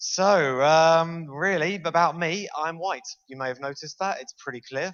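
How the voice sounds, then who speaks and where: This is a man speaking with a British accent. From Britain. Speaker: university lecturer and game developer. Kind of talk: conference talk. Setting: stage with audience. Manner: fast.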